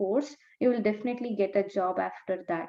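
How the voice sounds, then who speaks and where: A woman speaks with an Indian accent. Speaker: naturopath and dietetics graduate. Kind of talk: interview. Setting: video call.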